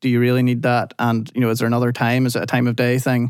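A man speaks at a very fast pace with a Northern Irish accent. The sound is dry and close, with no echo. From Northern Ireland. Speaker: technical director, engineer. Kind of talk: interview, technical discussion.

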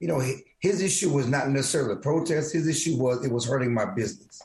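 Talking at a very fast pace, a man has a fairly high pitch and ordinary pitch variation. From small-town Texas. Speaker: sports columnist. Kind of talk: casual sports discussion. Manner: halting, repeats words.

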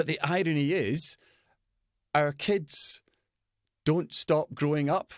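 A man with a Scottish accent and a fairly high pitch, in a very clean recording with a silent background and a dry, close sound with no echo. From Scotland. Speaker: business coach for fathers. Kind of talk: interview.

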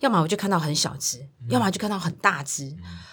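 On a very clean recording with a silent background, a woman speaks fairly quickly at a fairly low pitch. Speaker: children's service center director. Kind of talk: interview.

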